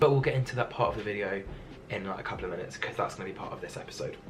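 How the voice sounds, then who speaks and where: There is noticeable background noise around the man speaking. An audible echo from the room comes through too. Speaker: YouTuber. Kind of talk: tutorial. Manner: fast.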